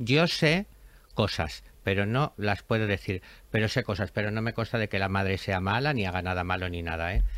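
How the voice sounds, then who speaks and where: In a very clean recording with a silent background, a man with a fairly low voice speaks at a moderate pace. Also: ordinary pitch variation. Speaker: podcast host. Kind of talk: casual chat. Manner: animated.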